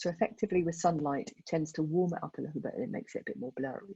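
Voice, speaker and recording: A woman's somewhat breathy voice, fairly low in pitch with ordinary variation, dark and mellow in tone, with a dry, close sound and no echo. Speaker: photographer giving a club talk. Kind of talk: tutorial. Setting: video call. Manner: fast.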